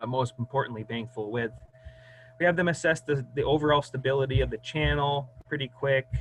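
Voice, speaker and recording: At a fairly quick pace and medium pitch, a man speaks with fairly even intonation over noticeable background noise. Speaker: hydrologist. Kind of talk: presentation.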